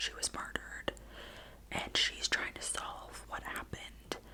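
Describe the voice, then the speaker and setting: Someone whispers in a calm tone amid noticeable background noise. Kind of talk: ASMR book talk. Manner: whispered; soft-spoken, calm.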